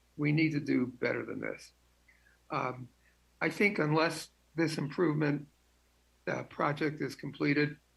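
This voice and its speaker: This man talks at a fairly slow pace with long, frequent pauses, a fairly high pitch, vocal fry, and fairly even intonation. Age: 80s+. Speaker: public commenter at city council meeting. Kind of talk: public comment. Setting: teleconference.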